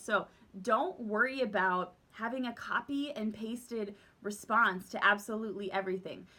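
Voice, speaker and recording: A woman speaks loudly with a fairly high pitch, a bubbly, bright and sharp tone, and lively intonation. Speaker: direct sales team leader. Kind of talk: casual vlog tips talk. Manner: bubbly and loud; animated.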